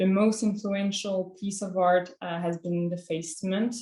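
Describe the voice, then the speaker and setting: Her pitch fairly low and her intonation fairly even, a woman speaks at a fairly slow pace. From France. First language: French. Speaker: student painter. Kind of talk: presentation of artwork. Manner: hesitant, many fillers.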